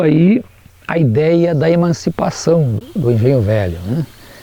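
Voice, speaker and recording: A man's voice moves through very wide pitch swings. Noticeable background noise is audible. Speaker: teacher. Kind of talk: interview testimony.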